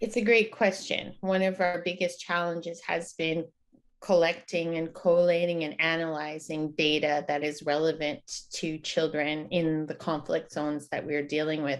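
A woman has an ordinary speaking voice, fairly low in pitch. She talks at a moderate pace with fairly even intonation. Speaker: guest. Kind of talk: interview answer. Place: home room. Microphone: video call.

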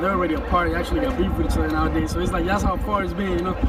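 Clear music plays in the background of a dry recording with no echo. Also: man. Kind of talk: interview answer. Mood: relaxed, friendly. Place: stadium. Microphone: handheld.

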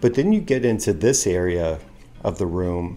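Speaking at a moderate pace, the man has a dark, mellow tone and ordinary pitch variation. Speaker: travel vlogger. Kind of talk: casual vlog chat. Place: home room. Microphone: phone near.

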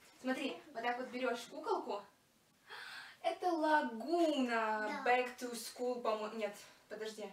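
A woman speaks in a high voice at a very slow pace, with ordinary pitch variation and long, frequent pauses. Noticeable background noise is present. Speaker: doll collector vlogger. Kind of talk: casual vlog chat. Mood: playful, laughing. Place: home room. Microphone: camera far.

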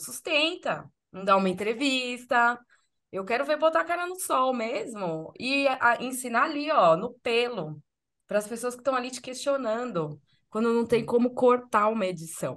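Very wide pitch swings run through this voice over a quiet background. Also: woman, high pitch for a woman, moderate pace. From Brazil, São Paulo. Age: 40s. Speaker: podcast host and content creator; podcast host, content creator. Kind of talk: casual chat. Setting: video podcast recording. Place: home room. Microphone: video call.

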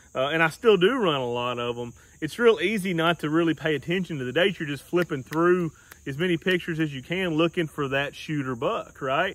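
The tone is fairly bright. Pitch varies in the ordinary way. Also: man.

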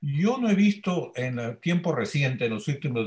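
A man's fairly high, somewhat breathy voice with very wide pitch swings, at a moderate pace against a quiet background. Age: 80s+. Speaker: senior trauma surgeon; panelist. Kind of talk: panel discussion. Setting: video call. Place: home room. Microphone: webcam.

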